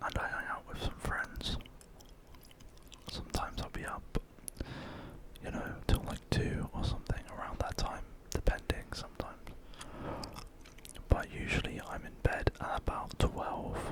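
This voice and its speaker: A man whispers at a moderate pace with long, frequent pauses and big swings in loudness, against noticeable background noise. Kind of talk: ASMR whispered ramble. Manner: whispered, soft-spoken.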